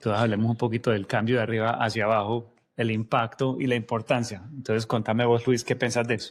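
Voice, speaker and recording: A man with a paisa accent talks at a very fast pace with hardly any pauses. His medium-pitched voice stays monotone and flat. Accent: paisa accent from Medellín, still present. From Colombia, Medellín. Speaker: podcast co-host, technology leader. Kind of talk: casual podcast conversation.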